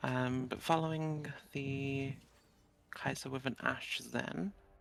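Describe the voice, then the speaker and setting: With music in the background, a woman with a very deep, low pitch speaks at a very slow pace with ordinary pitch variation. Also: long, frequent pauses. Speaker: esports caster. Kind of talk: live commentary. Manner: loud.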